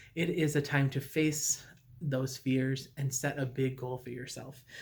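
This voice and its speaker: This man speaks at a fairly slow pace in a medium pitch, somewhat breathy. His intonation stays monotone and flat. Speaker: recovery group leader. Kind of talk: recorded talk to a recovery group. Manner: many fillers (uh, um).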